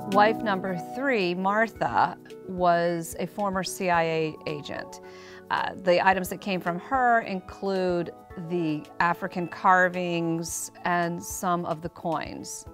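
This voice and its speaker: A woman's fairly low-pitched voice with ordinary pitch variation, at a very slow pace over faint music in the background. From United States. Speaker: auctioneer. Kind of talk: auction preview talk to camera. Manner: conversational, storytelling, with hesitations. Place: shop.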